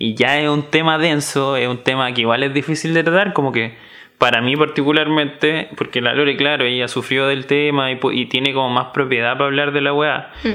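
This man's voice is fairly high, with fairly even intonation. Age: 20s. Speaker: podcast co-host. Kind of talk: casual chat.

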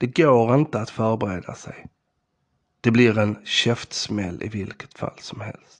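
The man here talks at a fairly slow pace and medium pitch. His loudness swings widely. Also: ordinary pitch variation. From southern Sweden, Skåne (Ystad). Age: 40s. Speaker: podcast host. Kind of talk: personal storytelling monologue.

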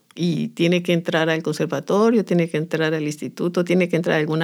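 Recorded very cleanly against a silent background, a woman with a fairly low pitch and fairly even intonation speaks in a normal speaking voice. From Colombia, Chocó (Andagoya). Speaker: folk dance teacher. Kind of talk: interview.

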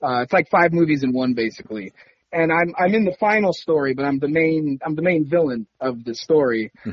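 A man with an American accent, lively intonation and a moderate pace. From Orlando, Florida. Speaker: actor. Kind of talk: interview. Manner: laughs often.

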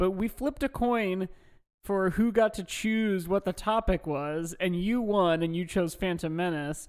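A man with a high voice talks at a fairly slow pace with ordinary pitch variation. The recording is very clean, the background silent. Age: 20s. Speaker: podcast co-host. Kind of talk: casual chat.

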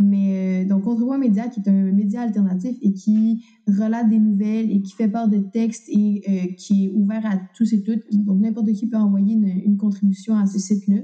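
This woman's voice sits at a medium pitch with a dark, mellow tone. Her delivery is monotone and flat, and somewhat breathy. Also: moderate pace. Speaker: student activist. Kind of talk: interview.

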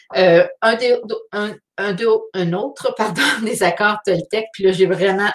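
This woman speaks at a medium pitch. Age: 40s. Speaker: artist hosting a weekly live. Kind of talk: live stream monologue. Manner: halting.

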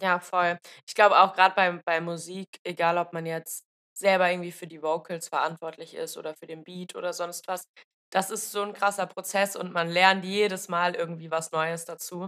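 The woman's pitch is fairly low, her intonation monotone and flat. She moves at a moderate pace with big swings in loudness. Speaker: podcast host. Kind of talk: casual interview chat. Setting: video call.

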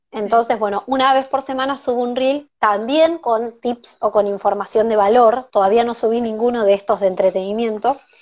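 An unremarkable speaking voice from a woman, fairly high, with ordinary pitch variation at a moderate pace. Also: quiet background. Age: 20s. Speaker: event organizer and teacher. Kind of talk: casual interview. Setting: Instagram live stream on phone.

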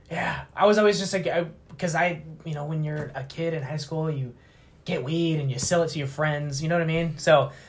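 Speaking at a fairly quick pace, a man with a fairly high pitch keeps his intonation fairly even while audible room echo surrounds him. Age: 30s. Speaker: baker and edibles business owner. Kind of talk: casual chat.

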